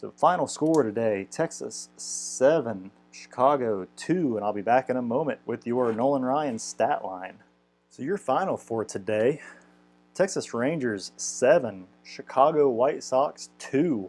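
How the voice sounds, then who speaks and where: Lively intonation marks a man's medium-pitched voice. He speaks at a fairly slow pace. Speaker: tabletop baseball replay video host. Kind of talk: game play-by-play and recap. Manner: casual, with hesitations.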